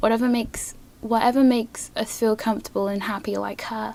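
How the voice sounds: A woman at medium pitch and a moderate pace. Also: slightly mellow tone.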